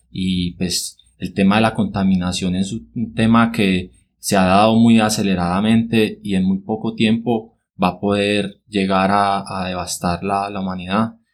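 A man's fairly low, monotone, flat delivery on a very clean recording with a silent background. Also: fairly slow pace. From Colombia, Cartago (Valle del Cauca). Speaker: agronomist and environmental activist. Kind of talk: interview. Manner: hesitant, many fillers (eh, pues) and repetitions.

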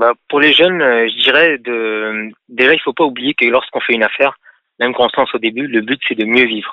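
Long, frequent pauses break up a man's fairly quick pace as he speaks at a medium pitch with ordinary pitch variation. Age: 30s. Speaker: auto parts business owner. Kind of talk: radio call-in interview. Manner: halting.

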